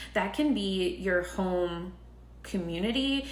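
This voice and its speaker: A woman's fairly low pitch with vocal fry and ordinary pitch variation, in audible room echo. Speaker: tarot reader. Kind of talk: tarot reading monologue. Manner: filler-heavy, casual.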